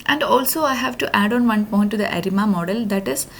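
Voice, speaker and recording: A woman speaks at a medium pitch with lively intonation. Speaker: data science intern presenting project. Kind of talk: tutorial. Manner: fast.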